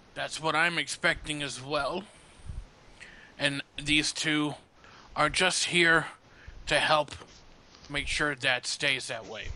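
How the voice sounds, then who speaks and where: In a put-on character voice, this raspy speaker goes at a fairly slow pace with long, frequent pauses. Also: man, fairly high pitch for a man. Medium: actual play. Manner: blunt, gruff.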